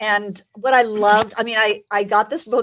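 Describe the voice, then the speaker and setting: In a very clean recording with a silent background and a dry, close sound with no echo, a woman speaks in an animated tone at a fairly high pitch. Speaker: talk show host. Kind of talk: casual chat. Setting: studio with live audience. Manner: loud.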